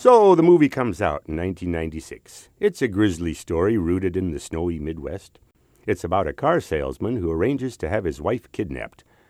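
A man with a Minnesota accent talks at a moderate pace in a very deep, low voice with lively intonation. The recording is very clean, with a silent background. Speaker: actor. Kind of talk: scripted narration.

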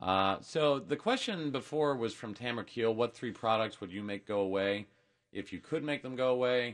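Here a man with an unremarkable speaking voice talks at a medium pitch and a moderate pace, with ordinary pitch variation. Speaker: radio host. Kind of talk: radio show banter and ad reads. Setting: studio. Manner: upbeat, playful, teasing.

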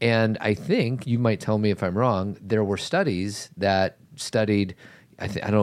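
At a fairly slow pace, a man with an unremarkable speaking voice talks at a fairly low pitch. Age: 50s. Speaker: podcast host. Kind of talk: casual chat; ad read.

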